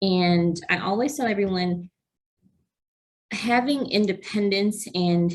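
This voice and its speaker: The woman's voice is somewhat breathy. She sits at medium pitch with ordinary pitch variation. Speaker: program coordinator for nonprofit health foundation. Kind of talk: webinar presentation.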